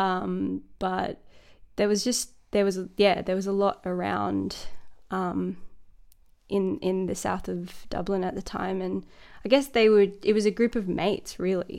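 Speaking at a fairly slow pace, a woman talks with an Australian accent. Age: 30s. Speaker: singer-songwriter and producer. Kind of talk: casual interview chat. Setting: video call.

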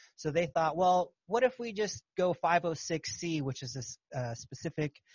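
A man speaks in a somewhat breathy voice. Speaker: podcast host and capital raiser. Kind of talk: casual interview chat.

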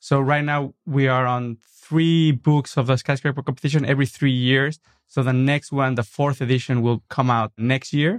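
With a Mexican accent, a man talks at medium pitch and a moderate pace, his intonation fairly even and his loudness very even, in a dry, close sound with no echo and a quiet background. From Mexico City, Mexico. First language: Spanish. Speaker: architect and designer. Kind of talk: interview. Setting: studio.

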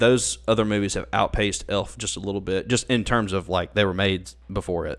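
The speaker has a Southern US accent and vocal fry. The pace is fairly quick, with hardly any pauses. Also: man, fairly low pitch for a man, ordinary pitch variation. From Mississippi. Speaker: college pastor. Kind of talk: casual chat.

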